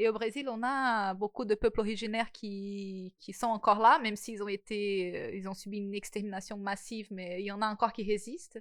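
A woman with a strong non-native accent, fairly high in pitch, at a moderate pace, fairly even in intonation but with big swings in loudness, over a quiet background. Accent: marked foreign accent in French. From Brazil. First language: Portuguese (speaking French). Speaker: podcast host. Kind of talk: casual chat.

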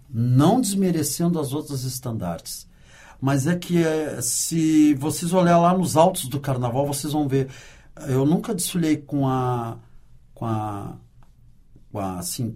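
This somewhat breathy voice has a dark, mellow tone and lively intonation, moving at a fairly slow pace with long, frequent pauses. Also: man, fairly high pitch for a man. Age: 60s. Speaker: carnival dancer and sound technician. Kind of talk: interview. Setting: studio.

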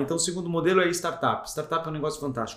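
A man talks at a high pitch over noticeable background noise. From Greater ABC region, São Paulo, Brazil. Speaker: business executive. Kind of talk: interview.

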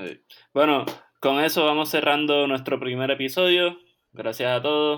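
Here is a man with a plain, everyday voice and a fairly high pitch. He talks at a fairly slow pace with fairly even intonation. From Puerto Rico, Caguas. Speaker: podcast co-host, chiropractic student. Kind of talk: casual chat.

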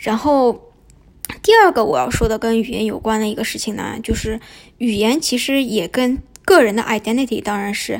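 Here a woman speaks at a fairly high pitch and a moderate pace. Her pitch varies in an ordinary way. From Shanghai, China. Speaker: podcast host. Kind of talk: casual monologue. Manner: hesitant, many fillers.

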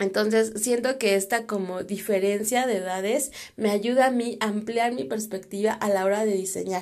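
A woman with a dark, mellow tone speaks fairly slowly, her pitch varying in an ordinary way. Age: 30s. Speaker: designer and podcaster. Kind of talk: casual monologue. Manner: hesitant with fillers.

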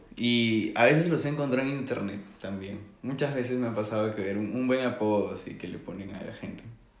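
Against noticeable background noise and audible room echo, a man speaks at medium pitch with ordinary pitch variation and big swings in loudness. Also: fairly quick pace. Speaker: podcast co-host. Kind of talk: casual storytelling.

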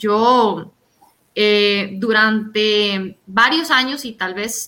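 A bright, sharp tone with fairly even intonation. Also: woman. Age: 20s. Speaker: political candidate and veterinarian. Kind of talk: interview.

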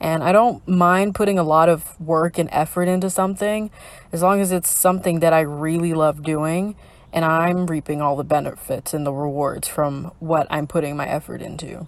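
A woman's fairly low-pitched voice, an ordinary speaking voice, with fairly even intonation at a moderate pace. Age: 20s. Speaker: podcast host and library assistant. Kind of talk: casual solo podcast chat. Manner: casual with frequent laughs and fillers.

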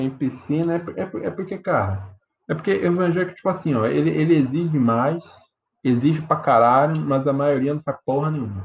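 Moving at a moderate pace, a man uses a fairly high pitch and lively intonation. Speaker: podcast host. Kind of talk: casual chat. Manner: animated.

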